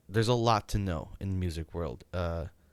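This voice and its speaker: In a very clean recording with a silent background, a man speaks at a very deep, low pitch with ordinary pitch variation. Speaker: amateur guitarist vlogger. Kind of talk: casual monologue. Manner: slurred speech; hesitant, many fillers.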